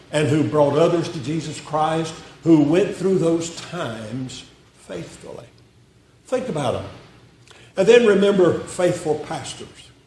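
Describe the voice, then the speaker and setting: A man's high-pitched voice in a Southern US accent at a very slow pace, with audible room echo and noticeable background noise. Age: 80s+. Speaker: retired pastor. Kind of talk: sermon. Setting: church.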